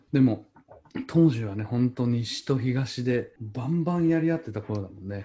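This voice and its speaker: A man talks at a moderate pace and medium pitch, his dark, mellow tone somewhat breathy. His pitch varies in an ordinary way while his loudness swings a lot. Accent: slight Chugoku. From Chugoku region, Japan. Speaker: podcast host. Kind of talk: casual chat. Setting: remote recording.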